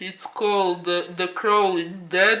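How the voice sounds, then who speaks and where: A man's raised, projected voice at a high pitch. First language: not English. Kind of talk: casual review talk to camera. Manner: hesitant, filler-heavy, with frequent 'uh'.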